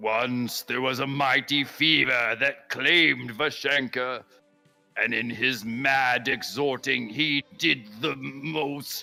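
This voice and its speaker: Very slowly, a man puts on a character voice at medium pitch, with faint music in the background. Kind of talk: mock biblical prophecy. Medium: actual play. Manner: pompous, solemn, archaic.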